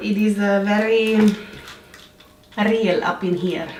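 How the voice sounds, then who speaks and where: In a Swiss accent, a woman speaks with ordinary pitch variation, with audible room echo and noticeable background noise in the recording. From Switzerland. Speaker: lifestyle vlogger. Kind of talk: baking tutorial. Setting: home kitchen. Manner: animated, playful, slips into put-on accents.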